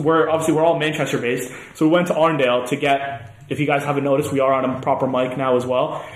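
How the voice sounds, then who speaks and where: Noticeable background noise sits behind a man speaking at a very fast pace. His fairly high voice keeps fairly even intonation. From Canada. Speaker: podcast co-host, university student. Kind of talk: casual chat. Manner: fast talker.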